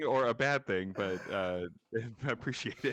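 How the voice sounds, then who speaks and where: The man talks at a fairly slow pace. Noticeable background noise is present. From Terrace, northern British Columbia, Canada. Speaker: photographer and city planning commentator. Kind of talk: casual interview chat.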